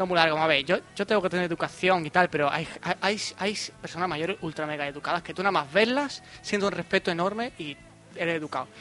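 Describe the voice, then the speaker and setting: An animated, very fast delivery with ordinary pitch variation over noticeable background noise. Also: man, high pitch for a man. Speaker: podcast host. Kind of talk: casual chat.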